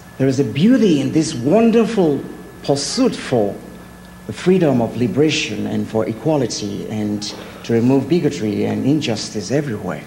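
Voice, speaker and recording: Against noticeable background noise and audible room echo, a speaker with a non-native accent lets the pitch swing very widely. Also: man. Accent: foreign. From Nigeria. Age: 40s. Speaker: artist. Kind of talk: speech.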